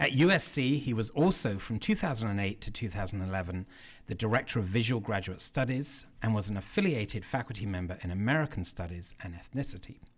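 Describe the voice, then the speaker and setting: The man speaks at a fairly quick pace in a normal speaking voice. His pitch is fairly low. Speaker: event host introducing a speaker. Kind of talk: formal introduction speech. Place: hall. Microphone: podium.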